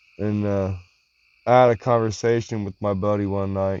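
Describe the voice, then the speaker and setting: At a moderate pace, a man delivers his words at a fairly low pitch with monotone, flat intonation. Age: 40s. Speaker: vlogger. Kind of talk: personal vlog monologue. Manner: casual, halting.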